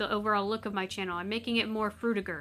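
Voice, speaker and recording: With music in the background, a soft-spoken woman talks in a fairly even intonation. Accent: American. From Tennessee, US South. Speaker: gaming streamer (VTuber). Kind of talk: casual live stream chat. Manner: halting, many fillers and restarts.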